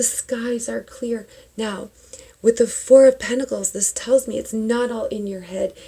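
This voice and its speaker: A whispering woman against noticeable background noise. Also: fairly slow pace. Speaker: tarot reader and spiritual vlogger. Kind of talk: tarot reading. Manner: animated.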